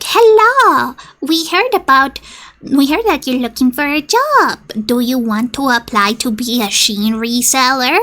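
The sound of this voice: A woman uses a put-on character voice with a high pitch, speaking at a moderate pace.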